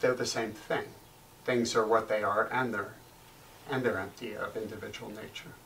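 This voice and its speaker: Against noticeable background noise and audible room echo, a man at medium pitch speaks at a moderate pace with fairly even intonation. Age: 60s. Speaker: Zen meditation teacher. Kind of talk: dharma talk. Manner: halting, with fillers; gentle.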